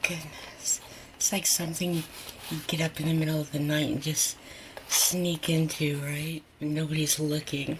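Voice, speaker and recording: Over noticeable background noise, a woman talks at a moderate pace with a very deep, low pitch. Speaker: home cooking video host. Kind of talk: casual cooking tutorial. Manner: animated; whispering at times.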